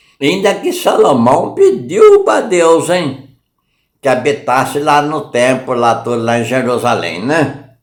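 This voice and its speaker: Speaking very slowly, a man uses lively intonation at a fairly high pitch. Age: 70s. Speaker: lay preacher. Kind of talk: sermon. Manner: informal, repetitive.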